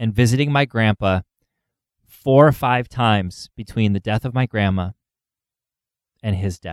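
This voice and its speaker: Recorded very cleanly with a silent background, a man speaks at a fairly slow pace. His intonation is lively, and the sound is dry and close with no echo. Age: 30s. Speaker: funeral celebrant and podcast host. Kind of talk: podcast monologue. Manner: hesitant with fillers.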